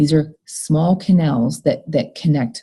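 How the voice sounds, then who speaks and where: In a very deep, low pitch, a woman speaks at a moderate pace with a dark, mellow tone that is somewhat breathy. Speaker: college biology instructor. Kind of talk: recorded lecture.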